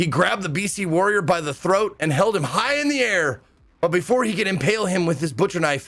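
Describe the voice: The recording is plain reading aloud. Words are read off the page with nothing added.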